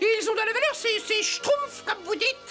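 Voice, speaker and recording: A woman does a squeaky, put-on character voice at an extremely high pitch, cheerful in tone, with ordinary pitch variation. Her loudness stays very even at a moderate pace, and background noise is clearly audible. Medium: fan dub. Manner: cheerful, airily teasing.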